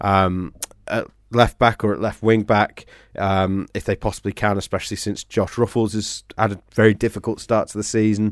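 A man's monotone, flat delivery at a moderate pace, dry and close with no echo. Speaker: football podcast host. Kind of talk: casual chat about football.

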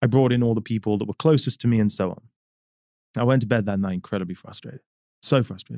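A man with a London accent and a medium pitch speaks at a very fast pace with long, frequent pauses and ordinary pitch variation, in a dry, close sound with no echo. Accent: British English accent, London. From London, England. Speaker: company CEO. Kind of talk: interview conversation. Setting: studio.

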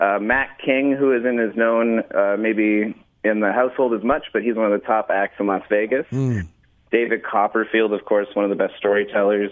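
At a moderate pace, a man with a plain, everyday voice speaks at a medium pitch, his intonation fairly even and his loudness very even. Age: 30s. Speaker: magician. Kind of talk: radio interview. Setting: phone call.

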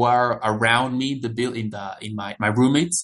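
A man with a Spanish accent. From El Salvador. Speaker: international student. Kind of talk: interview. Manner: halting.

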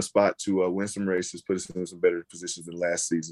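Dry and close with no echo, a man with an American accent talks at a very fast pace, his very deep, low pitch carrying a dark, mellow tone. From US South, North Carolina near Charlotte. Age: 20s. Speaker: professional football player. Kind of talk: interview. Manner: casual.

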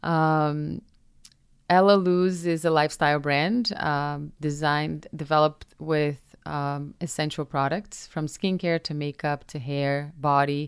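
On a very clean recording with a silent background, a woman with a Portuguese accent speaks at a fairly slow pace with a very deep, low pitch and fairly even intonation. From Brazil, Minas Gerais. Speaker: influencer and entrepreneur. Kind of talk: interview conversation. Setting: studio.

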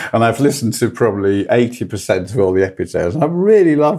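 This man's voice has a dark, mellow tone and ordinary pitch variation. He speaks at a very fast pace in a very clean recording with a silent background. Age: 60s. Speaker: angel investor and entrepreneur. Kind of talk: casual chat.

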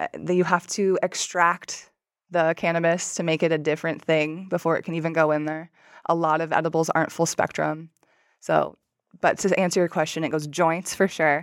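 A woman talks with a fairly low pitch. Her pace is moderate. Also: very clean recording, silent background. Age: 30s. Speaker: CBD business owner and cannabis advocate. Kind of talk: casual chat. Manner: animated.

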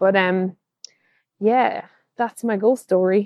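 Spoken with an Irish accent and fairly even intonation, the voice sounds dry and close with no echo, on a very clean recording with a silent background. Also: woman. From Ireland, Kilkenny. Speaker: archaeologist, listener. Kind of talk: storytelling voice message. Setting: recorded voice message.

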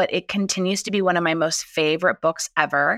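In an American accent, a woman with a normal speaking voice talks at a fairly quick pace and medium pitch. The sound is dry and close, with no echo. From Southern California. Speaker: chef. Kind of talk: interview.

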